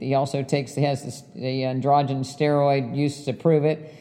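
Against noticeable background noise, a woman speaks in a very deep, low voice with monotone, flat intonation. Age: 60s. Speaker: cardiologist and podcast host. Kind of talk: solo podcast monologue. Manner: many fillers like um and uh.

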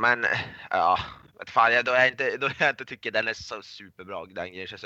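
A man at a moderate pace. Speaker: podcast co-host. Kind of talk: casual chat.

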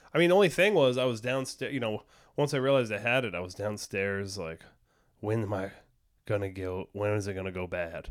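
A man speaks at a fairly low pitch in an ordinary speaking voice, with ordinary pitch variation. His pace is fairly quick, and the recording is very clean with a silent background. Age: 40s. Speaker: comedian, podcast co-host. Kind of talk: casual chat. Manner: laughs often.

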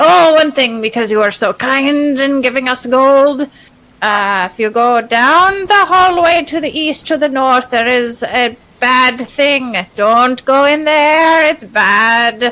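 The pace is fairly slow. A woman uses a put-on character voice with a high pitch. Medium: actual play. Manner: pompous and grandiose, like a wizard from a comedy film; petty, wheedling, impatient.

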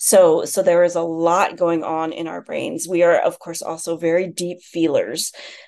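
An ordinary speaking voice from a woman with an American accent, fairly low in pitch, at a moderate pace with hardly any pauses, fairly even intonation and big swings in loudness. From US, Chinese American. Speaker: author. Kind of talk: interview.

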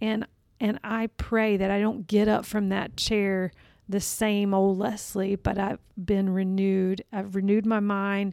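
A woman's dark, mellow tone at a fairly slow pace, on a very clean recording with a silent background. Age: 40s. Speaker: church staff member. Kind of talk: casual chat.

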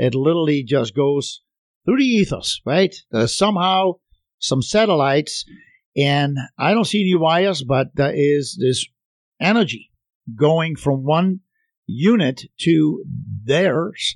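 Speaking with a German accent, a man uses a fairly high pitch, lively intonation and very even loudness, at a fairly slow pace with long, frequent pauses. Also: dry, close sound with no echo. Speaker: radio host. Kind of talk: radio interview. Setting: radio studio with phone callers.

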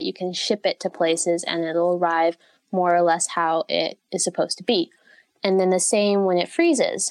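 A woman with an American accent talks at a moderate pace and medium pitch, her intonation fairly even, in an unremarkable speaking voice. The recording is very clean and dry, with a close sound, no echo and a silent background. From United States. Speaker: durian blogger and tour guide. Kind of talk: interview.

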